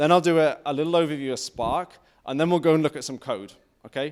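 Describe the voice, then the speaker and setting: A man with a northern English accent speaks at a very fast pace. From northern England. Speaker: tech conference speaker. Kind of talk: technical talk. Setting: stage with audience.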